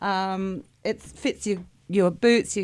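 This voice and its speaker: A woman speaks with an Australian accent and fairly even intonation. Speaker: small business owner and inventor. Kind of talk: radio interview.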